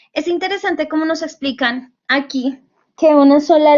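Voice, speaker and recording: A woman with a Bogotá accent at a moderate pace and ordinary pitch variation. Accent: Bogotá Colombian Spanish. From Colombia, Bogotá. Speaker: university tutor. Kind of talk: online lecture. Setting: virtual class session.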